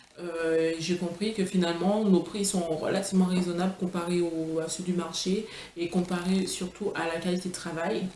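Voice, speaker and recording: A woman with a Martinican accent, medium pitch, monotone and flat intonation, a fairly slow pace, audible room echo and noticeable background noise. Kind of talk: product presentation vlog. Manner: halting, many fillers and restarts.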